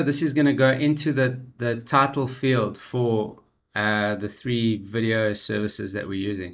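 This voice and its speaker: A man talks at a moderate pace with lively intonation. The room echo is audible. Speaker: tech tutorial youtuber. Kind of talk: screen-share tutorial.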